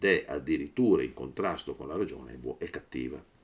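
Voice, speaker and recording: Vocal fry runs through this man's speech at a moderate pace. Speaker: teacher of philosophy. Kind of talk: lecture. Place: home room. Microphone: webcam.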